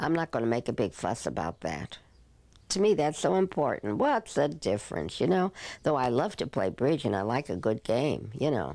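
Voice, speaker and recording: In a very clean recording with a silent background, a woman with an American accent speaks in a very deep, low pitch with a dark, mellow tone, vocal fry, and very wide pitch swings. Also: moderate pace. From New Jersey. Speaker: elderly woman telling her life story. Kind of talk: oral history interview.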